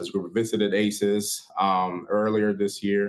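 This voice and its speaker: Against a quiet background, a man with a Spanish accent and a fairly low pitch speaks at a moderate pace. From Puerto Rico. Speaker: student outreach recruiter. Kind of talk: panel presentation. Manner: halting, many fillers.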